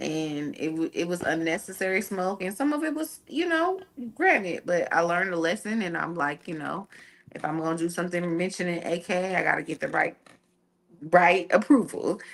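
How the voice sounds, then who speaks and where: Speaking at a moderate pace, a woman with a fairly low pitch and a slight country accent shows ordinary pitch variation. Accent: slight country twang. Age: 30s. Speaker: entertainment media personality. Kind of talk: casual chat.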